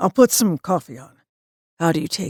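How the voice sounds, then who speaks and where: A raspy, put-on character voice at a middle pitch moves at a fairly quick pace, with a dry, close sound and no echo. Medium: read story. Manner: courteous.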